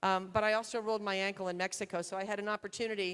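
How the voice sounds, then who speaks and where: The woman's voice sits at a medium pitch. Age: 60s. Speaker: surgeon. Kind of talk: conference talk.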